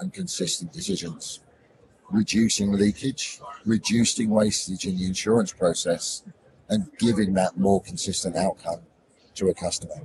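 Using a put-on character voice, a man talks at a moderate pace in a hoarse, fairly low pitch with ordinary pitch variation.

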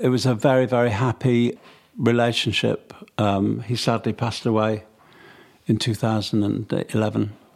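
A monotone, flat voice in a Mancunian accent, at very even loudness, on a very clean recording with a silent background. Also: man, medium pitch for a man, moderate pace. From Manchester, England. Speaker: songwriter and record producer. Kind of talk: interview.

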